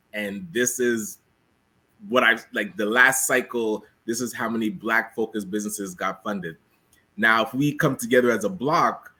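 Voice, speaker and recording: Music plays in the background as a man speaks at a moderate pace and medium pitch. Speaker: business network co-founder. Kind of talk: casual chat.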